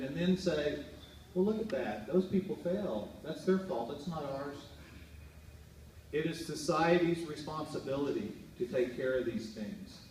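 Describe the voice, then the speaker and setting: Speaking at a fairly slow pace with lively intonation, a man with a fairly high pitch is heard amid audible room echo and noticeable background noise. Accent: American. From Oklahoma. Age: 60s. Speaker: political candidate. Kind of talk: campaign speech. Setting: fundraiser event with audience. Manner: impassioned.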